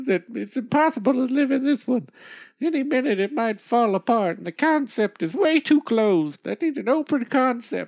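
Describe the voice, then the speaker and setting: At a moderate pace, a female-sounding voice does a put-on character voice pitched high. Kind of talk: comic overacting. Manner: shrill, scolding, foul-mouthed.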